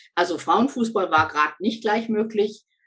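The woman's voice carries vocal fry. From Lower Saxony, Germany. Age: 60s. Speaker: former football referee and coach. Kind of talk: interview.

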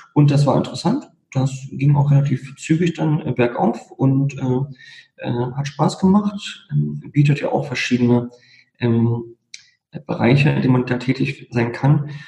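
Somewhat breathy and dark, mellow in tone, a man talks at a fairly slow pace with a fairly high pitch and ordinary pitch variation. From Berlin. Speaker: lawyer. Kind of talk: casual interview.

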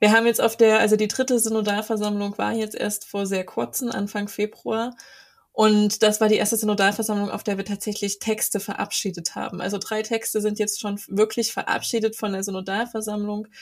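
A woman with a fairly high pitch talks at a fairly quick pace in a monotone, flat intonation, on a very clean recording with a silent background. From Saxony, Ore Mountains. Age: 20s. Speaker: student and church activist. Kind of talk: interview.

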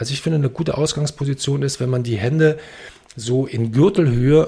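At a fairly quick pace, a man speaks with lively intonation in a dark, mellow tone that is somewhat breathy. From Berlin. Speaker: actor and presentation coach. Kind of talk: interview, explaining presentation techniques. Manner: fast.

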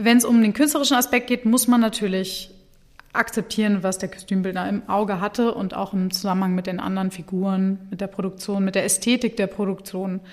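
A woman speaks at a fairly quick clip with fairly even intonation, her pitch medium and an unremarkable speaking voice. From Germany, Hannover. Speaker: opera singer. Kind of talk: interview.

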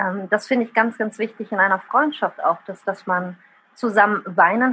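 This woman's voice sits at a medium pitch, with ordinary pitch variation and a moderate pace. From Rhineland, Germany and Italy. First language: Italian (speaking German). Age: 30s. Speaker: social media user and writer. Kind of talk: casual interview.

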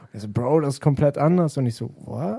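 Using a plain, everyday voice, a man talks at a fairly quick pace in a fairly high pitch. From Germany, Wolfsburg. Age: 20s. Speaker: rapper and music video producer. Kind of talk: casual chat. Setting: radio studio.

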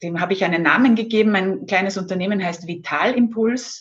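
The intonation is lively as a woman speaks. Her voice is somewhat breathy. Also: quiet background. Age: 50s. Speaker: Ayurveda expert and former pharmacist. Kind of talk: interview.

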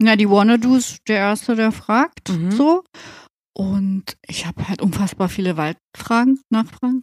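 In an unremarkable speaking voice, the speaker goes at a fairly slow pace with ordinary pitch variation, recorded in a dry, close sound with no echo. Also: woman, fairly high pitch for a woman. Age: 40s. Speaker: tattoo artist and studio owner. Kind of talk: casual chat.

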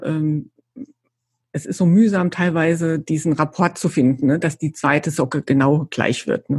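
Here a woman speaks at a fairly low pitch. Her pitch varies in an ordinary way. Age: 50s. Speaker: yarn company employee. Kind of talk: casual interview chat.

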